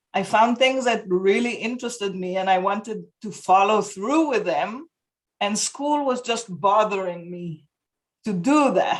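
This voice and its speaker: Speaking at a fairly slow pace, a woman with an Israeli accent uses a medium pitch and ordinary pitch variation. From Israel (kibbutz). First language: Hebrew. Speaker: homeschooling parent. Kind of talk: interview. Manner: halting.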